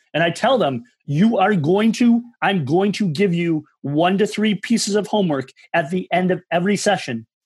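A high-pitched man with an American accent, an intense, energetic tone and very even loudness, against a quiet background. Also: lively intonation, moderate pace. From Michigan. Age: 40s. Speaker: massage therapist and movement coach. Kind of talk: casual interview.

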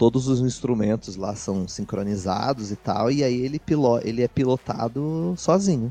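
Hardly pausing at all, a man speaks at a medium pitch. His tone is dark and mellow, with ordinary pitch variation. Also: moderate pace. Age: 20s. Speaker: student podcast co-host. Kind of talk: casual chat.

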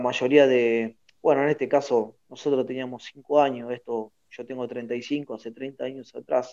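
Very slowly, a man speaks at a medium pitch in a dark, mellow tone with fairly even intonation. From Argentina, Buenos Aires province (Lomas de Zamora). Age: 30s. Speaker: football coach, former footballer. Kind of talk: interview. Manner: halting, many repetitions and fillers.

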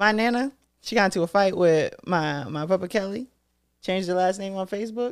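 A woman with an American accent, animated in tone, at medium pitch with ordinary pitch variation and a fairly quick pace. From Massachusetts. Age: 20s. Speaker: podcast host. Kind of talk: casual chat.

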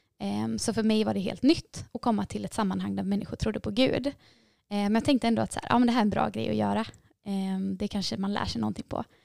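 A woman at a fairly quick pace, dry and close with no echo, in a very clean recording with a silent background. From Gothenburg, Sweden. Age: 20s. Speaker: nursing student. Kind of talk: testimony. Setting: studio.

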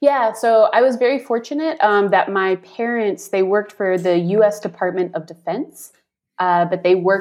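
With an American accent and a plain, everyday voice, a woman speaks at a moderate pace with lively intonation. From US South. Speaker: expat. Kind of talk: interview.

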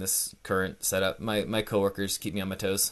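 Speaking with a West Coast US accent, a man has a fairly low pitch and a bright, sharp tone. He talks at a fairly quick pace over a quiet background. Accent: American (West Coast). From Northern California. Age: 30s. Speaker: finance director. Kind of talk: casual interview.

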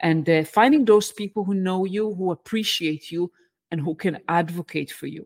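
In a very clean recording with a silent background, a woman with an Israeli accent speaks at a moderate pace. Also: medium pitch for a woman, ordinary pitch variation, dry, close sound with no echo. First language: Hebrew. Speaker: engineering management coach. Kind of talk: interview.

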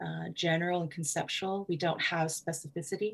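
A woman with a very deep, low pitch and a Southeast Asian accent. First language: Hmong. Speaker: writer and literary festival director. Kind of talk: interview.

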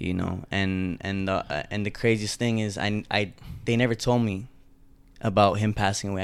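Fairly low pitch from a man at a fairly quick pace, with fairly even intonation. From Toronto, Canada. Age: 20s. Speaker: clothing entrepreneur. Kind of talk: interview.

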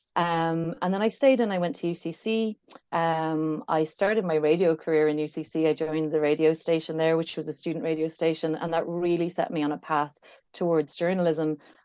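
In an Irish accent, a woman talks at a fairly quick pace with a fairly low pitch. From Ireland (Kilkenny). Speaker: art critic and memoirist. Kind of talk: casual interview.

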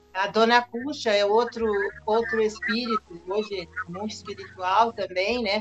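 Over noticeable background noise, a woman talks at a fairly slow pace with a fairly high pitch and fairly even intonation. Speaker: spiritist center volunteer. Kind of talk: interview.

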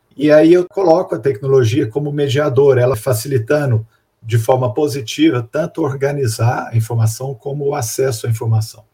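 This man speaks at a moderate pace with a medium pitch and ordinary pitch variation. His tone is dark, mellow and somewhat breathy. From Minas Gerais, Brazil (Belo Horizonte). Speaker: researcher with a doctorate in information management. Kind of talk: interview.

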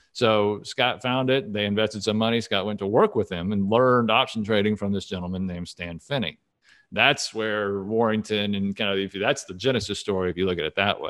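A man with an unremarkable speaking voice and an American accent, at a fairly quick pace with fairly even intonation, on a very clean recording with a silent background. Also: fairly low pitch for a man. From Texas, Dallas. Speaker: options portfolio manager. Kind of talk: interview.

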